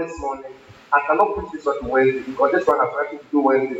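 A man with a Ghanaian accent at a very fast pace, over noticeable background noise. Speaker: pastor. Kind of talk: sermon. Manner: repetitive.

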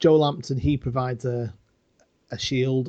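A man speaks at a moderate pace and a medium pitch, with ordinary pitch variation. His tone is dark and mellow, somewhat breathy, over a quiet background. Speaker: podcast co-host. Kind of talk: casual chat.

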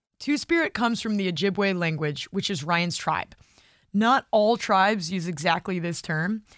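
A woman with a plain, everyday voice at a medium pitch, moderate pace and ordinary pitch variation. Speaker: podcast host. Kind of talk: scripted narration with interview.

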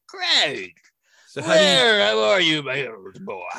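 A put-on character voice at middle pitch. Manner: jovial, hearty.

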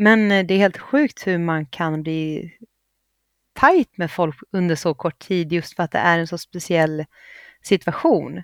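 Very slowly and at a fairly low pitch, a woman speaks with ordinary pitch variation on a very clean recording against a silent background. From Gävleborg, Sweden. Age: 30s. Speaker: reality TV contestant. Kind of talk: casual chat.

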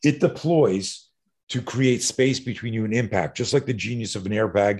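A man speaks at medium pitch and a moderate pace with ordinary pitch variation against a quiet background. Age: 60s. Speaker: self-defense instructor. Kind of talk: interview.

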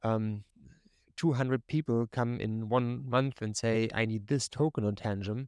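A man's medium-pitched voice with fairly even intonation, dry and close with no echo, against a quiet background. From Germany. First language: German. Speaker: crypto company brand ambassador. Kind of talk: casual interview. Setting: video call.

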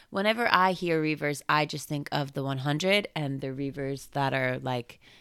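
A woman's very deep, low voice in a playful, animated tone, fairly slow, with ordinary pitch variation on a very clean recording with a silent background. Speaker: comic book podcast host. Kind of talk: casual chat.

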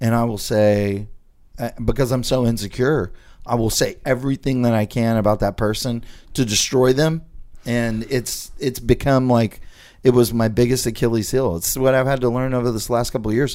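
This man has an ordinary speaking voice at medium pitch. He keeps a moderate pace and fairly even intonation. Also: very clean recording, silent background. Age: 40s. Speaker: podcast host and real estate investor. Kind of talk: casual chat.

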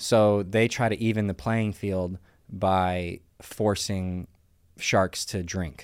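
At a very slow pace, a man speaks in a fairly low voice on a very clean recording with a silent background. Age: 30s. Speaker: professional poker player. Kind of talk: casual chat.

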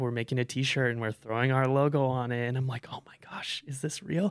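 Here a man with an American accent speaks in a normal speaking voice at medium pitch, keeping fairly even intonation and a fairly quick pace. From South Florida. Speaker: entrepreneur. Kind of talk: casual chat.

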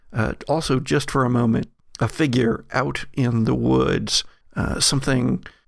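What comes through is a natural reading voice.

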